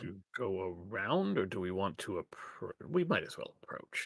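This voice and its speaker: A man uses a put-on character voice. He speaks at a moderate pace. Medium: actual play.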